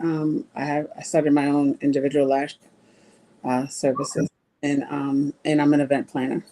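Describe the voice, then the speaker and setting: Speaking at a moderate pace, a woman with a very deep, low pitch and a dark, mellow tone keeps her intonation monotone and flat. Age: 40s. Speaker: lash tech and event planner. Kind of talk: casual chat. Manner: halting.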